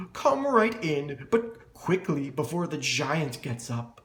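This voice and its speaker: A put-on character voice from a man, fairly slow and fairly high-pitched. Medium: read story.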